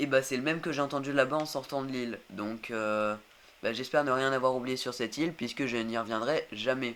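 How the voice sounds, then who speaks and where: Delivered at a moderate pace, the speech carries fairly even intonation. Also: man. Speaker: gaming youtuber. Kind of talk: let's play commentary. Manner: hesitant, many fillers.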